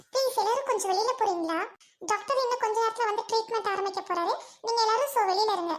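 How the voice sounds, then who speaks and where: Putting on a cartoonish character voice, a woman speaks at an extremely high pitch with ordinary pitch variation and a fairly quick pace. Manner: formal, mixes English and Tamil.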